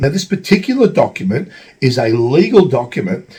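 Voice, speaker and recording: Somewhat breathy and dark, mellow in tone, a man speaks with an Australian accent at a moderate pace and with lively intonation. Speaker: travel vlogger. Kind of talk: tutorial. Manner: halting, many fillers.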